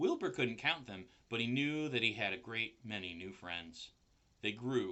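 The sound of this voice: The speaker reads in an unforced reading voice.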